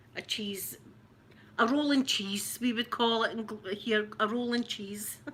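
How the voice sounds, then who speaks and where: A woman with a Glaswegian accent, fairly high in pitch, speaking at a fairly slow pace in a monotone, flat intonation. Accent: Glasgow Scottish, rough. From Scotland, Glasgow. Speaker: ASMR creator. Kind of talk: ASMR unboxing chat.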